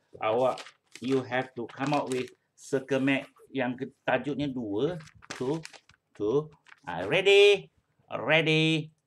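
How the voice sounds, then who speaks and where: A man's very slow, lively speech broken by long, frequent pauses, with light background noise. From Malaysia. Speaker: primary school English teacher. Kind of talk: online class lesson. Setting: video call. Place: home room. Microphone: webcam.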